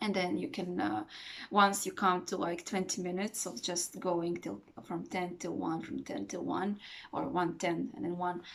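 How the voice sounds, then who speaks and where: A woman speaks with a fairly low pitch and some vocal fry. Her intonation is lively. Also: moderate pace. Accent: non-native. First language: not English. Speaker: meditation teacher. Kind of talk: tutorial. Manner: hesitant, many fillers; calm.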